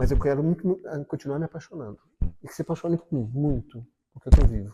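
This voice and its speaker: A man's dark, mellow tone comes through somewhat breathy, in a dry, close sound with no echo. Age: 60s. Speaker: interviewee in documentary. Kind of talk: interview testimony.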